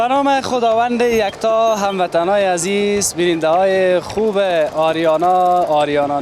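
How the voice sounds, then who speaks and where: Lively intonation carries a man's fairly slow speech through noticeable background noise. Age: 30s. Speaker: street reporter. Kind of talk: on-location TV report.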